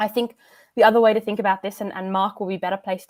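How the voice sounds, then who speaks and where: A woman's flat, monotone voice with an Australian accent, on a very clean recording with a silent background. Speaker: climate policy expert. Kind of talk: panel discussion.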